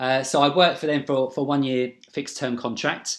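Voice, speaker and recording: The speaker has a southern English accent. The pace is moderate. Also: man, very clean recording, silent background. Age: 40s. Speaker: job applicant, training manager. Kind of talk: video job application, personal introduction. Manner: hesitant, frequent fillers.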